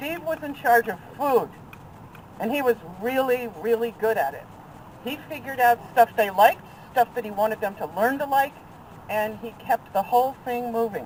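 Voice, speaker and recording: Against noticeable background noise, a woman with a high pitch speaks with long, frequent pauses. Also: ordinary pitch variation, moderate pace, big swings in loudness. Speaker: friend of the deceased. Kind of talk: memorial tribute. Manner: loud.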